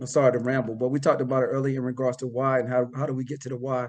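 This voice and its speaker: A man at medium pitch with a North Carolina accent and a very fast pace. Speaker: operations manager and former Marine officer. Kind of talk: podcast interview. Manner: halting, repetitive.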